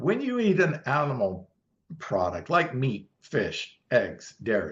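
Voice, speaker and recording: A man with a fairly high, somewhat breathy voice talks at a fairly slow pace, his pitch swinging very widely. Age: 60s. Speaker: vegan bodybuilding champion. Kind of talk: interview answer explaining nutrition science.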